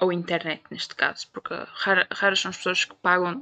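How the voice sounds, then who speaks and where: In a European Portuguese accent, a woman speaks at a moderate pace. Her tone is bright and sharp, her intonation fairly even. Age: 20s. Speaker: podcast host. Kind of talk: casual monologue.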